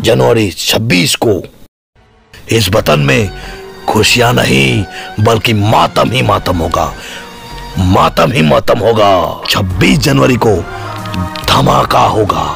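A man with a fairly low pitch speaks at a very slow pace, with long, frequent pauses. The sound is dry with no echo, and faint music plays in the background. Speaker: actor playing a villain. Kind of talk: scripted drama dialogue. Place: empty room. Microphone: phone near.

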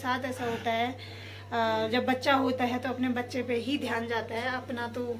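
A woman with a high pitch talks at a very slow pace over light background noise. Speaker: vlogger, young mother; mother vlogger. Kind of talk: casual vlog talk to camera. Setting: at home, kitchen and sunny outdoor spot. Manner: speaking softly so the sleeping baby won't wake.

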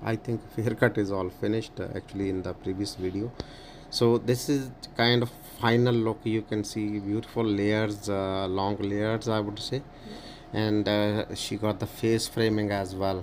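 The delivery moves at a moderate pace over light background noise. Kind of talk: casual commentary. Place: shop. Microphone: phone near.

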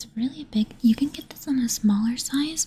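A woman whispers in a soft-spoken way at a moderate pace. Light background noise sits behind her. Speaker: ASMR creator. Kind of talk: ASMR product review, quiet talk to camera. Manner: soft-spoken, whispery. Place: home room. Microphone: studio mic.

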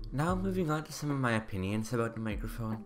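A man talks fairly quickly while faint music sounds in the background. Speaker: tech reviewer. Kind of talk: product review voice-over. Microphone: studio mic.

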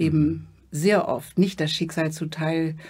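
A somewhat breathy woman's voice, fairly low-pitched, with a dark, mellow tone, fairly even intonation, a fairly slow pace and a quiet background. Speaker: interview guest. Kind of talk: interview answer. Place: studio. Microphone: studio mic.

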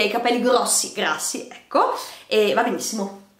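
Fairly high pitch from a woman, over noticeable background noise. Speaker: beauty vlogger. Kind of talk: casual vlog monologue, product review. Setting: video, filmed at home facing camera. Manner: chatty, ironic, halting with repetitions.

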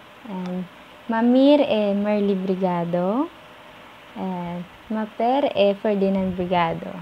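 At a very slow pace with long, frequent pauses, a woman speaks in a somewhat breathy voice with a dark, mellow tone and ordinary pitch variation, over light background noise. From Philippines. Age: 20s. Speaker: university student; vlogger introducing herself. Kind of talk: vlog self-introduction. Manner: halting. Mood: friendly, smiling. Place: home room. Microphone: phone near.

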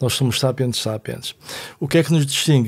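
This man speaks at a medium pitch. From Portugal, Vila Nova de Foz Côa. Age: 60s. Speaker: philosophy teacher and author. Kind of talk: casual chat.

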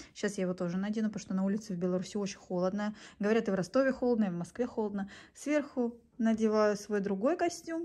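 A woman talks at a very fast pace with a fairly high pitch, an animated tone and lively intonation. The background is quiet. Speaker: vlogger. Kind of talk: casual vlog monologue. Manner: chatty, animated. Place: home room. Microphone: phone near.

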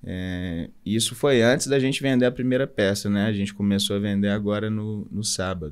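Pitch variation here is ordinary. The speech moves at a moderate pace. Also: man, fairly low pitch for a man. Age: 30s. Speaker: entrepreneur, clothing brand co-founder; podcast guest. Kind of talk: casual interview. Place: studio. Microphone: studio mic.

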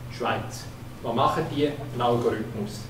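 Background noise is noticeable as a man speaks at a moderate pace. His intonation is fairly even. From eastern Switzerland. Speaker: audience member, former banker; audience member. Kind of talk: audience question. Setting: stage with audience. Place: hall.

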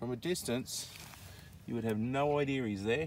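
A man talks at a moderate pace with a slightly mellow tone. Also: medium pitch for a man, ordinary pitch variation.

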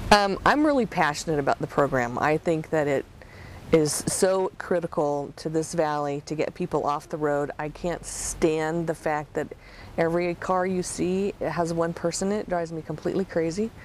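A woman with an unremarkable speaking voice talks at a moderate pace in a fairly low pitch. Her intonation stays fairly even, with a dry, echo-free sound and light background noise. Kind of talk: interview answer. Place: car.

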